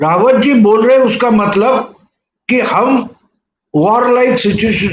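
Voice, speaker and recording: The man's voice sits at an extremely high pitch. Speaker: political commentator. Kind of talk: interview.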